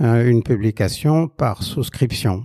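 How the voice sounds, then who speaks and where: The voice moves at a very slow pace, dark and mellow in tone, with a dry, close sound and no echo. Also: man. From France, Quercy. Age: 60s. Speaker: exhibition curator and blogger. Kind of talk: interview. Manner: halting, many hesitations.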